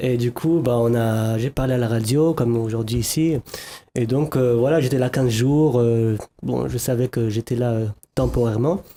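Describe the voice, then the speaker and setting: This man's voice has a dark, mellow tone and fairly even intonation. He keeps a moderate pace at very even loudness. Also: medium pitch for a man. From France, Lyon. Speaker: musician. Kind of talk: TV talk show interview.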